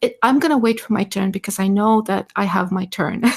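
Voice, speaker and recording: A woman's somewhat breathy, medium-pitched voice on a very clean recording with a silent background. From Balkans, just north of Greece, Greek family. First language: not English (English is second language). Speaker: artist and creativity researcher, panel guest. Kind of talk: live audio-space panel discussion. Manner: hesitant, searching for words.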